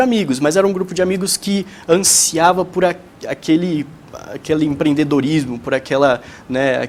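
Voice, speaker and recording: With noticeable background noise behind him, a high-pitched man speaks at a moderate pace with ordinary pitch variation. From Brazil, São Paulo state. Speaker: young entrepreneur. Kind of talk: tv interview. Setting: tv studio. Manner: hesitant, many fillers.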